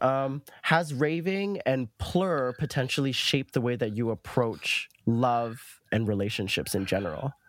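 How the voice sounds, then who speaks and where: A man's unremarkable speaking voice, medium in pitch with lively intonation, dry and close with no echo, on a very clean recording over a silent background. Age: 20s. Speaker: grad student and rave researcher. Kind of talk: casual chat.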